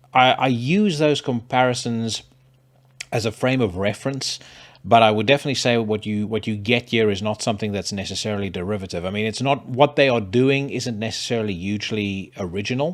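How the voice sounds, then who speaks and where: A man's medium-pitched voice with a South African accent, at a fairly quick pace. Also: ordinary pitch variation. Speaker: podcast host. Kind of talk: casual monologue with music reviews. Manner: hesitant, many fillers.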